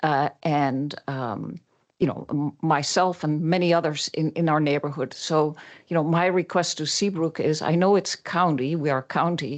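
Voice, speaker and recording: In a quiet background, a woman with a slight Dutch accent speaks at a moderate pace, her very deep, low pitch held in fairly even intonation. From Netherlands. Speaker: public commenter. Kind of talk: public comment. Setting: city council meeting. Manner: halting, many fillers.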